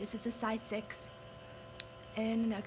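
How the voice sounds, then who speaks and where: A woman's voice is heard with noticeable background noise underneath. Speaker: patient sharing her medical story. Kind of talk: personal testimony vlog. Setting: rehabilitation center / nursing home. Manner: halting.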